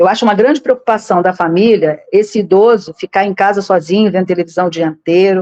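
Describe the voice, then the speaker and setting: A woman's medium-pitched voice with a dark, mellow tone, ordinary pitch variation and a dry, close sound with no echo. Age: 60s. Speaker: political candidate. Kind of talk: interview. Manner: halting, with frequent repetitions.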